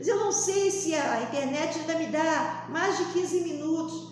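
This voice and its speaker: A woman talks at a fairly slow pace, with audible room echo and noticeable background noise. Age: 60s. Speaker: lay preacher. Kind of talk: sermon.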